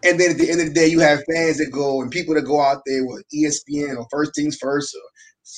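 A man talks at a fairly quick pace in a normal speaking voice. His pitch is fairly high, and his intonation is fairly even. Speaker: sports analyst guest. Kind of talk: casual sports talk interview.

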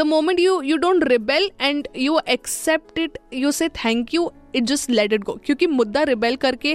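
Dry and close with no echo, a woman's high-pitched voice carries lively intonation. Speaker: radio host. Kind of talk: solo podcast monologue. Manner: casual, Hinglish code-switching; filler-heavy with hesitations.

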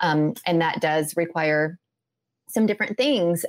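A plain, everyday voice from a woman with an American accent, fairly low in pitch, with ordinary pitch variation, at a fairly slow pace, on a very clean recording with a silent background. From US Midwest, Indiana. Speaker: holistic health coach. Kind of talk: casual interview chat.

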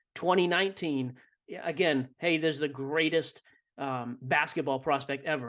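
A man with an American accent speaks at a moderate pace against a quiet background, in a plain, everyday voice. His pitch is fairly high, with ordinary pitch variation. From Boston. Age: 30s. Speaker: sports card podcaster and entrepreneur. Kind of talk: interview.

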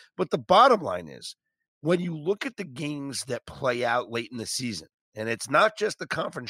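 Moderately paced and marked by vocal fry, a man's voice swings very widely in pitch, in a dry, close sound with no echo on a very clean recording with a silent background. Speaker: podcast host. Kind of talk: casual sports analysis chat.

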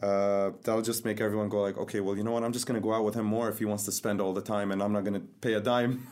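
A man with a fairly low pitch speaks at a very fast pace in a monotone, flat intonation, with very even loudness and hardly any pauses. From Dubai. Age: 20s. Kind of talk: casual chat.

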